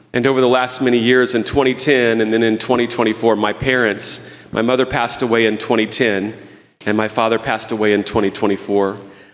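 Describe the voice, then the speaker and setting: A man talks at a very fast pace and a medium pitch. His intonation is monotone and flat, with very even loudness. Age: 60s. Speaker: guest preacher. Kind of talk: sermon. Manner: halting.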